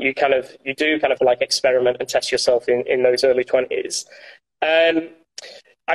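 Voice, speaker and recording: A man with a Yorkshire accent talks at a fairly quick pace in a dry, close sound with no echo. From Yorkshire, northern England. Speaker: former intelligence analyst, alumnus. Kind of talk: interview. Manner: hesitant, many fillers.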